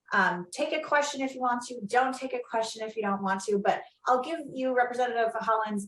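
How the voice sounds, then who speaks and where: A woman talks at a fairly quick pace, her high-pitched voice bright and sharp in tone. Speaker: panel moderator. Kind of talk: online panel discussion.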